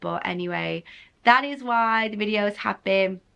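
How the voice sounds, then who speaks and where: A woman with an English accent speaks at a moderate pace in a bright, sharp tone. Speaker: lifestyle vlogger. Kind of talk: casual vlog talk.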